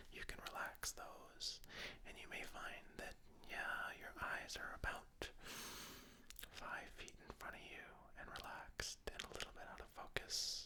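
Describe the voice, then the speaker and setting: A man whispering calmly at a fairly slow pace. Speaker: ASMR artist. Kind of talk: ASMR meditation tutorial. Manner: whispered; slow, soft-spoken, calm.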